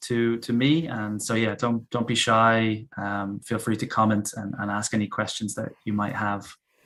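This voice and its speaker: A man with a Dublin accent speaks at a medium pitch in a very clean recording with a silent background. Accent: soft Dublin. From Ireland, Dublin. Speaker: English teacher. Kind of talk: casual chat. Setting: live stream.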